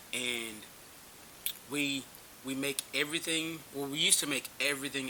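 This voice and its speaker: With an American accent and fairly even intonation, a man speaks with long, frequent pauses over noticeable background noise. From North Carolina, rural. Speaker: small business owner, military veteran. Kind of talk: interview.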